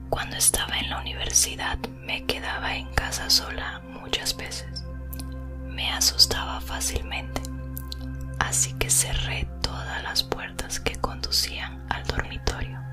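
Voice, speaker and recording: A woman whispers at a fairly slow pace with music playing in the background. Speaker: ASMR creator. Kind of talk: horror story reading. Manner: whispered.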